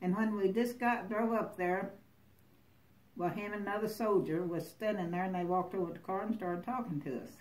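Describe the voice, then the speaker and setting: With a Southern US accent, a woman speaks at a fairly quick pace. Her medium pitch shows ordinary variation. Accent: Southern US (Oklahoma). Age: 80s+. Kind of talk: interview answer.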